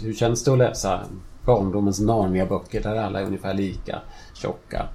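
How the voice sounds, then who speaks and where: A man speaks at a moderate pace. He has a normal speaking voice with a fairly low pitch. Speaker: author. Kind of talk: casual chat. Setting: in a home kitchen, in person.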